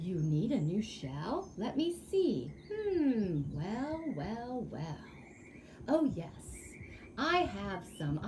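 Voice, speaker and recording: Very slowly, someone talks in a put-on character voice over clear background noise. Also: female-sounding voice, medium pitch for a woman. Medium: read story.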